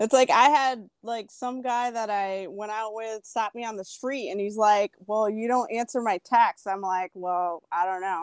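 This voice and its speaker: Spoken in a New York accent with ordinary pitch variation, the speech moves at a fairly slow pace with hardly any pauses in a dry, close sound with no echo. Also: woman, fairly high pitch for a woman. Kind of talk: casual chat. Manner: animated.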